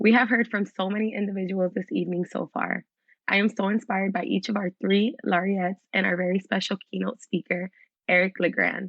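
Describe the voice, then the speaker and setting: With an American accent, a woman speaks fairly quickly at a medium pitch, her intonation fairly even. Vocal fry runs through her voice. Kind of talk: scripted speech. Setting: virtual event.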